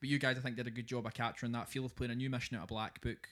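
A man speaks at medium pitch in a very clean recording with a silent background. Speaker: wargamer and hobbyist. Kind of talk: casual chat podcast.

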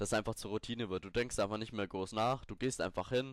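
Recorded very cleanly over a silent background, a man with a plain, everyday voice speaks at a medium pitch with fairly even intonation. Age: 20s. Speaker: fitness podcaster. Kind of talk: solo podcast tutorial. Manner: casual, with many fillers and restarts.

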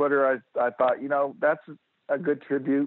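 This man has a fairly high pitch and speaks with an American accent. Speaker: retired firefighter and fan. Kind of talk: casual interview.

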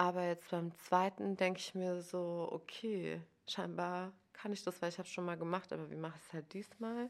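At a moderate pace, a woman with a fairly low pitch and an unremarkable speaking voice talks with fairly even intonation. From Germany, village. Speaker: novelist and journalist. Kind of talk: casual chat.

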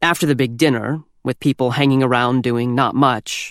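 Someone reads aloud in a natural voice. Pitch movement is fairly even.

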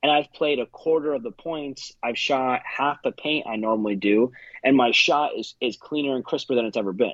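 In a dry, close recording with no echo and a quiet background, a man with an American accent and an unremarkable speaking voice talks at a moderate pace, fairly high in pitch with ordinary pitch variation. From US Northeast. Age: 20s. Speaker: paintball player. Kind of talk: casual chat.

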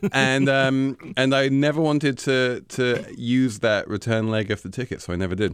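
With an English accent, a man speaks at a moderate pace with hardly any pauses. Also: medium pitch for a man, ordinary pitch variation. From England. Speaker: financial journalist, senior editor. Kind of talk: interview.

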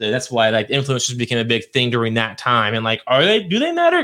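Speaking very fast with hardly any pauses, a man at medium pitch uses an animated tone. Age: 30s. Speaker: podcast co-host. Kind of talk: casual chat.

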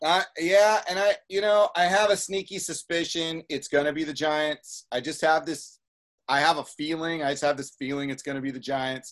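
A plain, everyday voice from a man with a fairly high pitch, at a moderate pace with ordinary pitch variation. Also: quiet background. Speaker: podcast co-host. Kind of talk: casual sports talk podcast.

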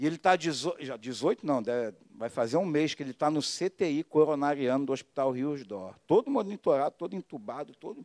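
With an unremarkable speaking voice, a man talks at a moderate pace with fairly high pitch, lively intonation, and big swings in loudness, in a very clean recording with a silent background and a dry, close sound with no echo. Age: 50s. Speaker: pastor. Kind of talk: sermon. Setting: church.

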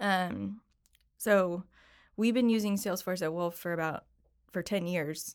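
On a very clean recording with a silent background, a woman with an American accent uses a plain, everyday voice, fairly low in pitch, at a moderate pace. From upstate New York, Syracuse. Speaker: office worker at an accounting firm. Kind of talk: casual interview. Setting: studio.

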